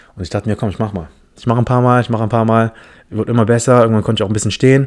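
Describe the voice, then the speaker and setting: With an animated tone and fairly low pitch, a man talks at a very fast pace. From Philippine heritage. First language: English (speaking German). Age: 20s. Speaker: podcast host. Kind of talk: casual monologue.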